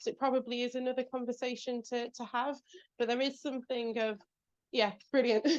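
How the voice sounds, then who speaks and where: In a British accent, a woman speaks with a high pitch and a fairly quick pace. Her intonation is monotone and flat. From England. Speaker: executive speaker. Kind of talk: talk with audience Q&A.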